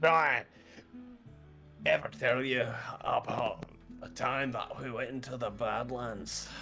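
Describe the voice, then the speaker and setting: Over clear music in the background, a man puts on a raspy character voice at medium pitch, moving at a fairly slow pace with long, frequent pauses. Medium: actual play. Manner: boastful, storytelling.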